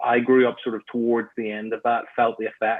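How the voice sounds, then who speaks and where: A man speaks with a Northern Irish accent. His intonation is monotone and flat. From Northern Ireland, Belfast. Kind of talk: interview conversation.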